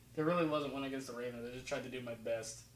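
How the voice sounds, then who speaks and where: Audible room echo surrounds a man with an American accent, whose fairly high pitch shows ordinary variation. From New Jersey until age six, then elsewhere. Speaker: football film analysis youtuber. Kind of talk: casual video commentary. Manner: casual, halting with fillers.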